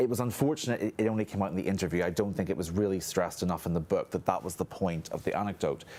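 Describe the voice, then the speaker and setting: Talking very fast with hardly any pauses, a man with a Northern Irish accent has a fairly low pitch, ordinary pitch variation and a dark, mellow tone. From Northern Ireland. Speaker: historian. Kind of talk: panel discussion. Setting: studio.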